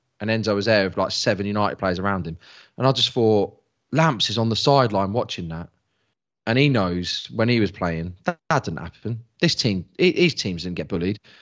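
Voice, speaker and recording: A man speaks with a London accent and a fairly low pitch. His intonation is lively. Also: fairly quick pace. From South London. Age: 40s. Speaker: football journalist and podcaster. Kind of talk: casual chat.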